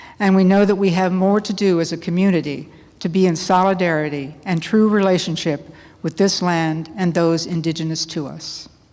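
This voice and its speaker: A woman speaks in a fairly low voice with a dark, mellow tone and fairly even intonation. There is audible room echo. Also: moderate pace. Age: 70s. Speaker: lay worship leader. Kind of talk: worship service liturgy. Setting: church.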